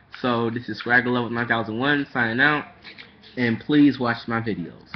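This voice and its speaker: A man's unremarkable speaking voice, medium in pitch, with fairly even intonation at a moderate pace. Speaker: manga vlogger. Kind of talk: casual webcam vlog.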